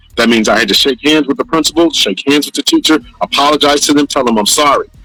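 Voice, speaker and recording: With music in the background, a man talks very fast at a fairly high pitch with ordinary pitch variation, in a dry, close sound with no echo. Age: 40s. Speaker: podcast host. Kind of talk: casual discussion.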